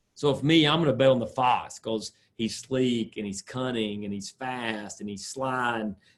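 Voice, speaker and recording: A man speaks with a medium pitch. His intonation stays fairly even. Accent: Southern. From US South, South Carolina (Sumter). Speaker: sport psychologist. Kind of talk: lecture.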